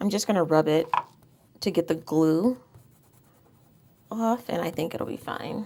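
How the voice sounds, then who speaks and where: A woman speaks quietly at a fairly slow pace, leaving long, frequent pauses. Her dark, mellow tone carries lively intonation. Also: fairly low pitch for a woman. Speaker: planner decorating YouTuber. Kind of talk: casual tutorial-style crafting vlog.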